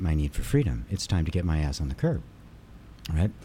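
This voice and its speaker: A man's somewhat breathy, dark, mellow voice at a fairly quick pace. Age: 60s. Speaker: spiritual teacher and energy healer. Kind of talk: casual interview chat. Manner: animated, energetic.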